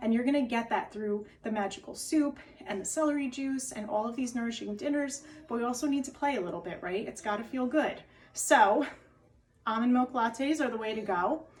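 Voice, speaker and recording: A woman with a New Jersey accent, fairly high in pitch, at a very fast pace, amid noticeable background noise. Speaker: wellness and diet coach. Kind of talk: cooking tutorial. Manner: animated.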